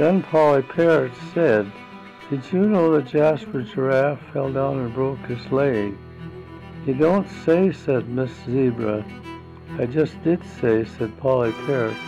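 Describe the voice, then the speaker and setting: Music plays in the background as a man speaks at a very slow pace. His voice is medium in pitch with lively intonation. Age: 80s+. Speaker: great-grandfather. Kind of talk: children's story read-aloud. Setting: home recording.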